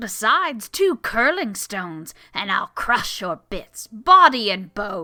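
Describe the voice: Just plain reading aloud.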